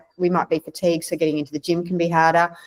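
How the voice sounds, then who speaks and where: Here a woman speaks with an Australian accent at a fairly low pitch. The sound is dry and close, with no echo. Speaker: naturopath. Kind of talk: interview.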